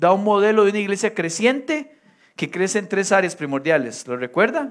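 A man's high, animated voice at a moderate pace, in a Costa Rican accent. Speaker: pastor. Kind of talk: sermon.

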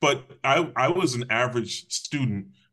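Bright and sharp in tone, a man speaks with an American accent. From Connecticut (Hamden, near New Haven). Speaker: public safety official, former police officer. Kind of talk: interview, personal life story.

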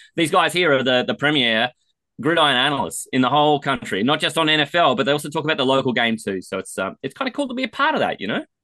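A man with an Australian accent, fairly high-pitched, at a very fast pace. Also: lively intonation. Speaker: fantasy football podcaster. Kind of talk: casual sports chat. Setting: studio.

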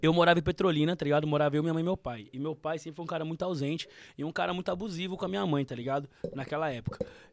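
A very fast-paced man at a fairly high pitch, with ordinary pitch variation. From São Paulo area, Osasco. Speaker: musician guest. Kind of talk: casual chat.

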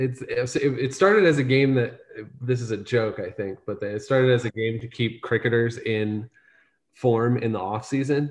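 A somewhat breathy man with an American accent, medium pitch, ordinary pitch variation and a moderate pace. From northeastern Ohio (Salem). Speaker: soccer fan and match producer. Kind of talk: casual chat.

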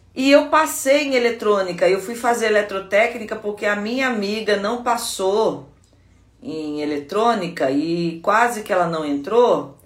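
In a space with audible room echo, a woman speaks at medium pitch and a fairly slow pace. Her pitch swings very widely. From Brazil, Guaratinguetá (São Paulo state). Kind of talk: devotional teaching talk. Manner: conversational.

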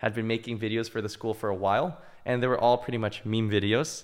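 This man has a medium-pitched voice. He talks at a fairly quick pace. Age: 20s. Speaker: college student and startup founder. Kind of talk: casual interview. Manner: hesitant, many fillers.

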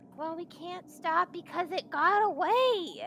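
A woman puts on a character voice at an extremely high pitch and a fairly slow pace. Clear background noise is present. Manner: tired, blunt.

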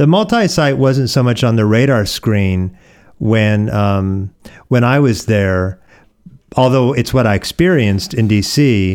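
Lively intonation marks this man's plain, everyday voice, which has a medium pitch and an American accent. He speaks at a fairly slow pace with very even loudness on a very clean recording with a silent background. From US Pacific Northwest (Oregon). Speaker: pastor. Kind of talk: podcast interview.

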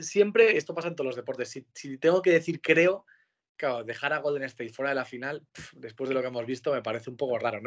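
A man with an ordinary speaking voice, ordinary pitch variation and a fairly quick pace. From Spain, Pamplona (Navarre). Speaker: sports broadcaster. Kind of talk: interview. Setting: video call from home.

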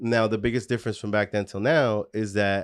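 Over a quiet background, a man talks at a moderate pace with a fairly low pitch. His intonation is monotone and flat. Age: 40s. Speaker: entrepreneur and studio owner. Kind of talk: casual interview.

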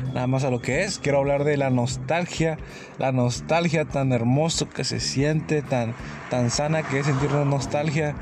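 Through noticeable background noise, a man speaks at a fairly slow pace in a fairly high pitch with fairly even intonation. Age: 20s. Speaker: podcaster. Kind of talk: casual monologue. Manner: halting, repetitive.

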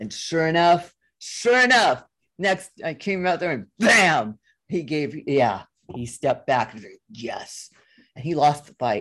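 Against a quiet background, a woman speaks very slowly in a very deep, low pitch, with very wide pitch swings and big swings in loudness. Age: 60s. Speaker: hypnotherapist. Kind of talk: interview testimony.

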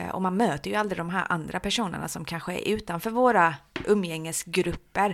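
A woman speaks at a moderate pace with vocal fry and a medium pitch. Her pitch varies in an ordinary way, and the recording is very clean with a silent background. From Halmstad, Sweden (born in Iran). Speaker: social services developer. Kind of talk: interview. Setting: office.

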